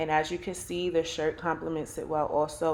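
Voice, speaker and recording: A woman with a Brooklyn accent speaks at a moderate pace in a fairly low pitch. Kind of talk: casual talk to camera.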